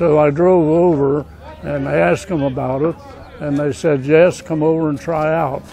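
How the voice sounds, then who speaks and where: Crowd noise fills the background of this dry recording with no echo. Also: man, fairly high pitch for a man, fairly even intonation, moderate pace. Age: 90s. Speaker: senior amateur baseball player. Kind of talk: casual interview. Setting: outdoors. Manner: halting.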